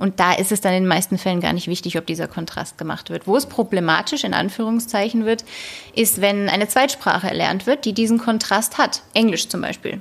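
A woman with a medium pitch speaks at a fairly quick pace. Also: ordinary pitch variation. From Hesse, Germany (Wetzlar). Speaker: linguist, postdoctoral researcher. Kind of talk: interview.

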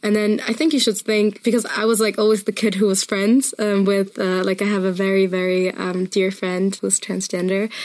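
Speaking at a fairly quick pace, a woman with a German accent has a medium-pitched voice. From Germany, Munich area. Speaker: musician. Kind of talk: interview.

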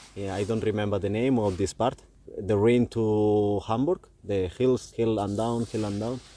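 Here a man speaks in a fairly low pitch with a Spanish accent and a dark, mellow tone. His pace is fairly slow and his intonation fairly even. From Spain. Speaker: touring cyclist. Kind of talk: casual chat. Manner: halting.

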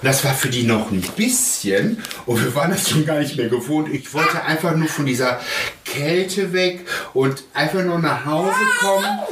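A man at a fairly high pitch with lively intonation, very even loudness and a moderate pace, amid noticeable background noise and audible room echo. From Germany, child of Spanish guest workers. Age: 40s. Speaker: father via surrogacy. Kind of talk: interview. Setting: at home.

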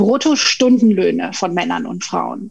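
A woman speaks at a very slow pace with a fairly high pitch, ordinary pitch variation and vocal fry. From Tenerife, Spain (German-speaking upbringing). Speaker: management consultant and pay equity advocate. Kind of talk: podcast interview.

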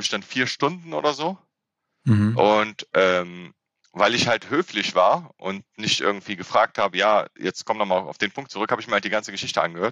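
With an ordinary speaking voice, a man talks at a moderate pace and fairly low pitch, his intonation lively, in a dry, close recording with no echo. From Germany, Rhineland (Frechen near Cologne). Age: 30s. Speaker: civil servant, intercultural trainer and comedian. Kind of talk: interview.

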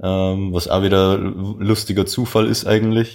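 A man at a fairly slow pace, in a very clean recording with a silent background. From Lower Bavaria, Salzweg near Passau. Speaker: podcast guest, bank clerk and student. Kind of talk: casual interview.

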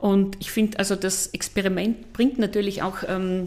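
Amid noticeable background noise, a woman at medium pitch speaks at a fairly slow pace. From Austria, eastern Styria. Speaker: psychotherapist and TV relationship expert. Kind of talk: interview.

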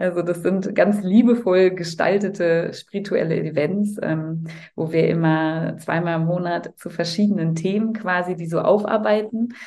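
Her dark, mellow voice sits at a fairly low pitch, as this woman speaks with fairly even intonation and hardly any pauses. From Cologne, Germany. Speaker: voice-over speaker and holistic health coach. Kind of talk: casual interview chat.

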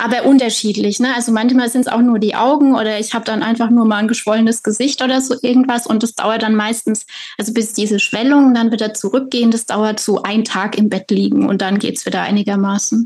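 A woman's fairly high, monotone voice with flat intonation, at a very fast pace with hardly any pauses. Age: 30s. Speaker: author and patient. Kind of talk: personal testimony interview.

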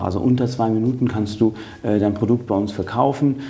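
A man with a slight Cologne accent speaks fairly quickly at medium pitch with fairly even intonation. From western Germany, Eifel region between Cologne and Trier. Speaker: business executive. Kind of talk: interview. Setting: in person in Düsseldorf.

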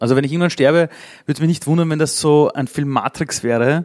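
This man talks at a very fast pace. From Vienna, Austria (Simmering). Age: 40s. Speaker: speaker and entrepreneur. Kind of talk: live interview. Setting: stage with audience. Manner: animated.

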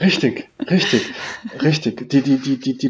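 A man with an Austrian accent, fairly high in pitch, at a very slow pace. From Austria, mountain village. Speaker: IT manager, former chef. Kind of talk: interview. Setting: remote call. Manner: halting, many repetitions.

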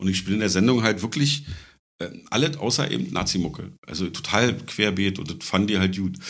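Amid audible room echo, a man with a fairly low pitch speaks with lively intonation. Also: moderate pace. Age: 40s. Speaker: bass player and stick-and-poke tattooist. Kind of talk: casual chat.

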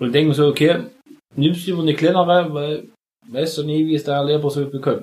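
A man's somewhat breathy, fairly high-pitched voice at a fairly quick pace. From Saxony, eastern Germany. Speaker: podcast co-host. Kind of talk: casual chat.

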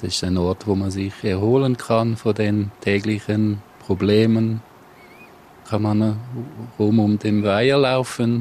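Over noticeable background noise, a man speaks very slowly in a fairly low voice with fairly even intonation. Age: 50s. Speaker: husband and caregiver. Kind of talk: interview.

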